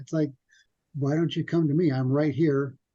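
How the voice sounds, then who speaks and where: A dark, mellow tone, somewhat breathy, at a fairly quick pace with ordinary pitch variation. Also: man. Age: 50s. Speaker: web developer, podcast guest. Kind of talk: casual interview chat. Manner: quiet, soft-spoken; people think he mumbles.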